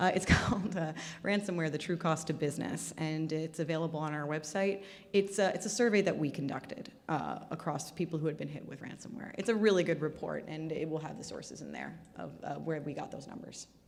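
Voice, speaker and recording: A woman with a very deep, low pitch speaks at a fairly quick pace, her loudness swinging widely and her pitch varying in an ordinary way, with audible room echo. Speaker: cyber security speaker. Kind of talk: conference talk Q&A. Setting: stage with audience. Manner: fast.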